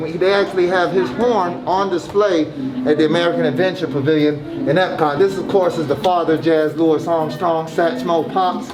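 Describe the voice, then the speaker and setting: Animated and in a Southern US accent, the speaker goes at a fairly quick pace amid noticeable background noise and audible room echo. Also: man. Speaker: jazz musician, park visitor. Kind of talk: casual chat. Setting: outdoors at a theme park.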